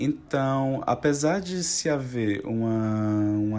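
A man talks with ordinary pitch variation. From Ceará, Brazil (Fortaleza). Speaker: translation studies researcher. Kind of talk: academic talk about own research. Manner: halting, with frequent repetitions.

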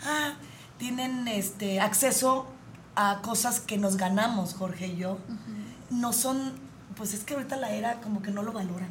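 A woman's animated, fairly high voice at a moderate pace, with ordinary pitch variation, long and frequent pauses, audible room echo and noticeable background noise. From Jalisco, Mexico. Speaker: radio host. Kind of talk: casual chat.

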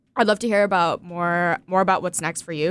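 On a very clean recording with a silent background, a woman talks at a very fast pace. Her pitch is fairly low. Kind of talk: interview conversation.

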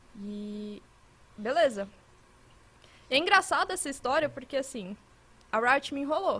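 Using a raised, projected voice, a woman speaks at a high pitch with very wide pitch swings, a bright, sharp tone, a fairly slow pace and long, frequent pauses. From Minas Gerais, Brazil. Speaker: esports commentator. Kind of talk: casual chat.

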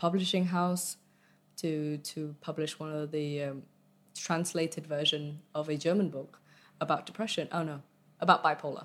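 In a Vietnamese accent, a woman speaks at a moderate pace with a very deep, low pitch and monotone, flat intonation, on a very clean recording with a silent background. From Vietnam and England (boarding school from age nine). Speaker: arts community project founder. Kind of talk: casual interview. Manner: hesitant, many fillers.

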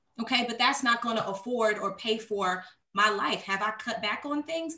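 Animated and bright, a woman's high, sharp voice makes very wide pitch swings at a moderate pace. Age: 30s. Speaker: podcast co-host, theater performer. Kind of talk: casual chat.

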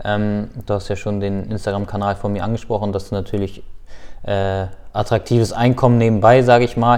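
Monotone and flat in intonation, a man talks at a fairly quick pace. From Lower Saxony, Germany (Hildesheim/Hannover). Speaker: professional footballer. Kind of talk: casual interview.

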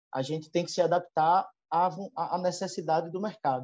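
With a strong northeastern Brazilian accent, a man speaks in a high pitch and a dark, mellow tone. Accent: strong drawling northeastern Brazilian. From Northeast Brazil (Alagoas). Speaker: veterinarian, livestock consultant. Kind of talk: interview. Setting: video call. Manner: hesitant, many filler repetitions.

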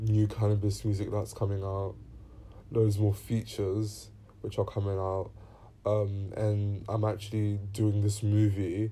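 Monotone, flat intonation marks this man's fairly low voice. It sounds somewhat breathy, with a dark, mellow tone. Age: 20s. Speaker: musician. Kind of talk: casual Q&A monologue. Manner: hesitant, many fillers.

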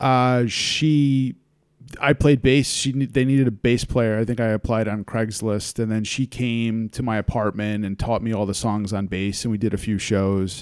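Here a man with an American accent has a plain, everyday voice at a medium pitch. His pace is moderate and his intonation fairly even. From US Northeast, Hudson Valley, New York. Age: 30s. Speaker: podcast host. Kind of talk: casual chat.

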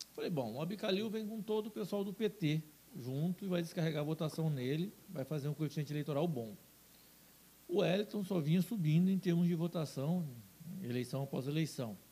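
Dark and mellow in tone yet high in pitch, a man talks at a fairly quick pace with lively intonation. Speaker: businessman and TV station owner. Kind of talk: casual interview.

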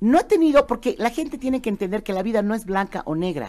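In a Bolivian accent, a woman with a dark, mellow tone talks at a fairly quick pace with very wide pitch swings. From Bolivia, Cochabamba. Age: 50s. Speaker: entertainer and economist. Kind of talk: casual interview. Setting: studio.

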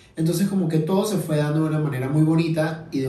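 A man at a fairly high pitch, with audible room echo. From Venezuela. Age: 20s. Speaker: podcast host. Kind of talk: casual monologue. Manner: halting.

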